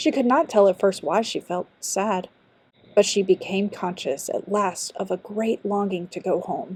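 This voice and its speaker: A woman speaks at a fairly slow pace in a normal speaking voice. Her pitch sits at a medium level with ordinary variation. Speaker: audiobook narrator, amateur voice actor. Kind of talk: fairy tale audiobook narration. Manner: storytelling, narrative.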